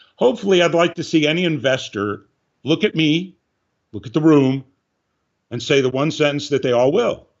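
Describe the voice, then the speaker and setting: A man talks at a fairly quick pace in a fairly high pitch. His voice has vocal fry. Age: 60s. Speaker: film script supervisor and director. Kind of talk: interview.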